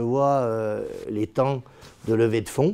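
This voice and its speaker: Pitch varies in an ordinary way. The background is quiet. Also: man. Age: 50s. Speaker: property developer and company founder. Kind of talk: corporate interview monologue. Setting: company office. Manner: hesitant, many fillers and repetitions.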